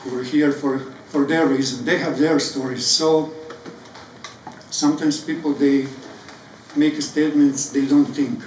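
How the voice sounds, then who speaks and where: A man with a Serbian accent speaks at a moderate pace in a monotone, flat intonation, with long, frequent pauses. Noticeable background noise and audible room echo are present. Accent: non-native, Serbian. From Croatia (Serbian). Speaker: poet. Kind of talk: spoken word talk. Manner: halting.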